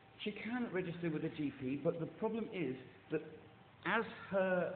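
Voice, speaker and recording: A man with a high pitch and ordinary pitch variation, moderate pace, noticeable background noise behind him. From England. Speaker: caller. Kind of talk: phone complaint. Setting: phone call. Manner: halting.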